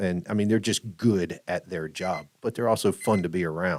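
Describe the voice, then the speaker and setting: In a very clean recording with a silent background, a man speaks at a moderate pace with fairly even intonation. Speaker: podcast co-host. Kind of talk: casual chat. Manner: loud.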